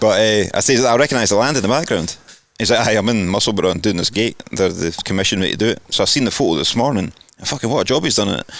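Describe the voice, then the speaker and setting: In a Scottish accent, the speaker talks at a very fast pace with ordinary pitch variation. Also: man, fairly low pitch for a man. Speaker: podcast host. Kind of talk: casual chat.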